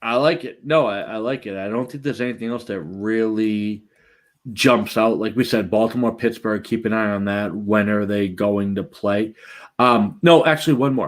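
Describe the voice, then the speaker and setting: A man speaks with a Boston accent. The recording is very clean, and the background is silent. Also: medium pitch for a man, ordinary pitch variation, moderate pace. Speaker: fantasy football podcast host. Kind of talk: casual chat. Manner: animated.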